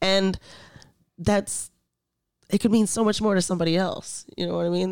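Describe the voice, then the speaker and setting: In a very clean recording with a silent background, a woman speaks fairly quickly with ordinary pitch variation. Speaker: podcast co-host and model. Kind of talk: casual chat. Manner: loud.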